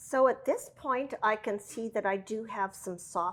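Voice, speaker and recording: At a fairly slow pace, a woman with a fairly high pitch uses a normal speaking voice with ordinary pitch variation. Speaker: cooking show host. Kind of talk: cooking tutorial. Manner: casual with frequent fillers.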